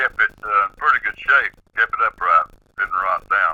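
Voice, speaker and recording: A man speaks at a moderate pace with an Appalachian accent. The sound is dry and close, with no echo. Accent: Southern US, Appalachian. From East Tennessee, near Knoxville. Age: 70s. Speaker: eyewitness storyteller. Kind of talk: interview, personal account. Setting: phone call on speakerphone. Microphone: speakerphone, disturbance on the line.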